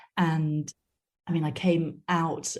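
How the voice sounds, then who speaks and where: A woman speaks with vocal fry in a monotone, flat intonation. The background is quiet. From Wales. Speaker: opera director. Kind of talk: interview.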